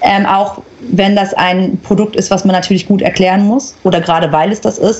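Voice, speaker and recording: Over noticeable background noise, a woman speaks in a medium pitch at a moderate pace. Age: 30s. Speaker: influencer and agency founder. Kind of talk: interview.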